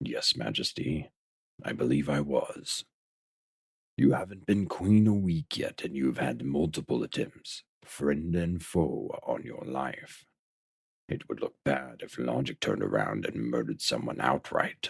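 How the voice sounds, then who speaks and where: A man puts on a character voice with a very deep, low pitch. He speaks at a moderate pace. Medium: audio drama. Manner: measured, dignified, gently wise.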